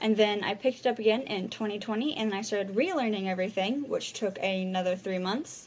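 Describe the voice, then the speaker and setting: A woman's very fast delivery at a medium pitch, with ordinary pitch variation and hardly any pauses. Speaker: language learner vlogger. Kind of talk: casual vlog monologue. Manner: halting, many repeated words.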